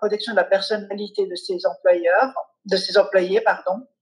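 A woman with an ordinary speaking voice talks at a moderate pace, her medium pitch showing ordinary pitch variation. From Switzerland. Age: 40s. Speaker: family lawyer and mediator. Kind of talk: interview.

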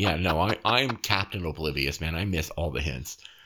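Recorded very cleanly with a silent background, a man talks at a moderate pace, his lively intonation touched with vocal fry. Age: 40s. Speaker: podcast host. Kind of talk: casual chat.

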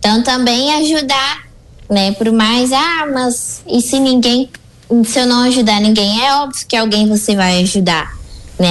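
Noticeable background noise surrounds a woman speaking at a fairly slow pace. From Rio Grande do Sul, Brazil. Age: 20s. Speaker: preschool teacher. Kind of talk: radio interview. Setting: radio studio.

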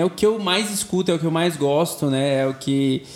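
The man speaks with a high pitch. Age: 20s. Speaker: pop singer and advertising professional. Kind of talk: casual chat.

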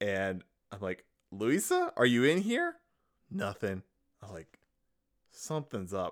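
A man talks at a fairly slow pace with long, frequent pauses. His tone is animated, with big swings in loudness. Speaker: podcast co-host. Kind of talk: casual chat. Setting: home studio.

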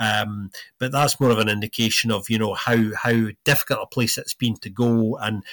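Recorded very cleanly against a silent background, with a dry, close sound and no echo, a man speaks in a plain, everyday voice at a medium pitch and a moderate pace, his intonation fairly even. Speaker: podcast co-host. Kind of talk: football podcast analysis, chatty.

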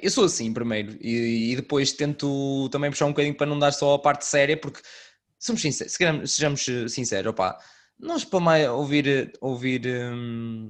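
With a northern Portuguese accent, a man speaks at a fairly high pitch. His pace is fairly quick. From northern Portugal. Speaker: podcast host. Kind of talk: casual chat.

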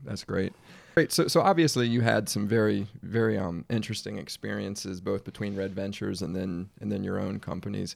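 A man talks at a fairly quick pace with a fairly low pitch. His voice shows vocal fry and ordinary pitch variation. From Washington DC area. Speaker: podcast host. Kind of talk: interview.

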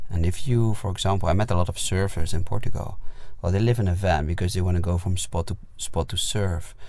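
A man's very deep, low voice, dark and mellow in tone and somewhat breathy, with fairly even intonation at a fairly quick pace. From Netherlands. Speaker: musician. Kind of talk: casual chat. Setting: inside a parked van.

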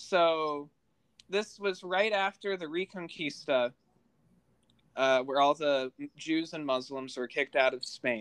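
The recording is very clean, with a silent background. The speech moves at a fairly slow pace with long, frequent pauses. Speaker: podcast host and editor. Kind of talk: casual educational chat. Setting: recorded at home in a kitchen.

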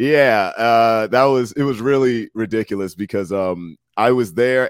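The recording is dry and close with no echo, as a man speaks at medium pitch with ordinary pitch variation. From Washington DC area, US. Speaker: rapper and co-host guest. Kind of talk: casual chat. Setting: video call.

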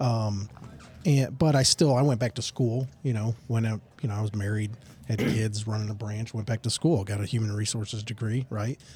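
A man speaks at a moderate pace and medium pitch, with a dark, mellow tone. His voice is somewhat breathy and his intonation fairly even. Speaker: operations director. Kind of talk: casual interview chat.

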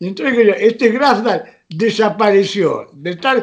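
A man speaks with ordinary pitch variation. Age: 80s+. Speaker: retired rugby player and club veteran. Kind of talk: interview, storytelling.

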